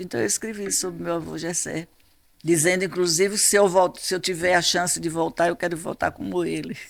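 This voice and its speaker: Recorded very cleanly against a silent background, a woman speaks. Her pace is moderate and her pitch variation is ordinary. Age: 80s+. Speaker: author. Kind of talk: interview. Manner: halting.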